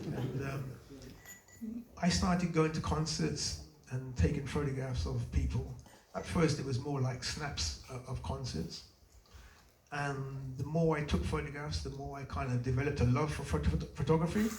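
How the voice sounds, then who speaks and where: Amid audible room echo and noticeable background noise, a man speaks at a medium pitch and moderate pace, with long, frequent pauses and very wide pitch swings. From England, British-Jamaican. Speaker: photographer. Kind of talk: Q&A interview. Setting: exhibition event with audience. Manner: hesitant, many fillers.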